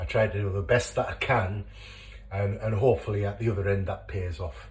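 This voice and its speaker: A very fast-talking man with a Teesside accent. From northern England, Teesside. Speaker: home cooking video creator. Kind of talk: cooking tutorial. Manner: casual, hesitant with many fillers.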